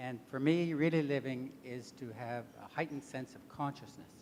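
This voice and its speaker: Noticeable background noise runs beneath a man whose pitch varies in an ordinary way. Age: 70s. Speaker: author and retired diplomat. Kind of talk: panel discussion.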